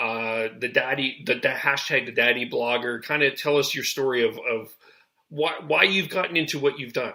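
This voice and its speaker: A man with a Canadian accent speaks at a moderate pace and medium pitch, his tone bright and sharp and his pitch varying in an ordinary way. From Canada. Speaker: podcast host. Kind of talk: podcast interview.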